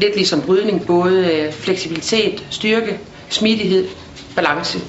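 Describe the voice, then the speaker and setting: Noticeable background noise and audible room echo accompany a woman speaking very slowly at a medium pitch with fairly even intonation. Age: 40s. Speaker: sports director. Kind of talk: interview.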